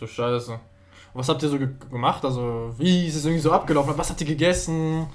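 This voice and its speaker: A man with a plain, everyday voice talks at a fairly quick clip, his fairly high pitch moving with ordinary variation while his loudness swings widely. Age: young. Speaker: podcast co-host. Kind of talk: casual chat.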